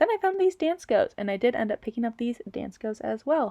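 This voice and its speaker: A woman's dark, mellow tone with very wide pitch swings, dry and close with no echo. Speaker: reseller vlogger. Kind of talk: vlog voiceover narration. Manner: fast; casual.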